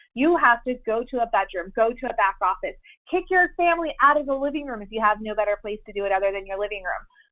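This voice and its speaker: Here a woman speaks with an American accent. Her pace is fairly quick and her intonation lively. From southern Illinois. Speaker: compliance expert. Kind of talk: webinar presentation. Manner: loud; animated.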